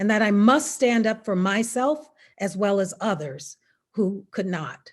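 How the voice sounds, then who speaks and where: Fairly high-pitched woman with an American accent at a fairly slow pace, on a very clean recording with a silent background. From US South, Mississippi. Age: 60s. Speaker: attorney. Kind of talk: prepared speech.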